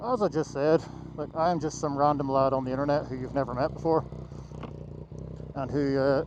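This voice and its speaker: A man talks at a fairly quick pace with fairly even intonation. Long, frequent pauses break it up over noticeable background noise. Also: fairly high pitch for a man. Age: 30s. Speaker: motorcycle vlogger. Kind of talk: casual vlog talk while riding. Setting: riding a motorcycle. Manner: casual, hesitant with fillers.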